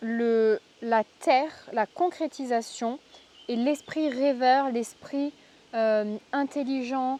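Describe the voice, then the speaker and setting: A woman's high-pitched voice at a very slow pace, with ordinary pitch variation, long, frequent pauses, and a dry, close sound with no echo. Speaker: tarot card reader. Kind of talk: tarot reading. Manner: halting, many fillers.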